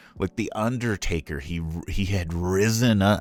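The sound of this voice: A man's low-pitched voice at a fairly slow pace. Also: ordinary pitch variation, very clean recording, silent background.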